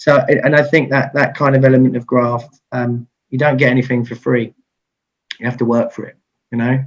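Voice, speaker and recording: Speaking in a southeast English accent, the voice moves at a fairly quick pace with monotone, flat intonation. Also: man. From Kent, England. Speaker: IT business owner and radio DJ. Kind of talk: interview answer. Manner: fast-talking.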